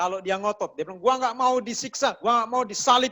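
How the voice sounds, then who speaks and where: In a West Sulawesi accent, a man talks at a fairly quick pace with a bright, sharp tone and a raised, projected voice. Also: dry, close sound with no echo, very clean recording, silent background. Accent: Mamasa regional accent in Indonesian. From Mamasa, West Sulawesi, Indonesia. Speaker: pastor. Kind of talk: sermon. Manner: conversational, colloquial.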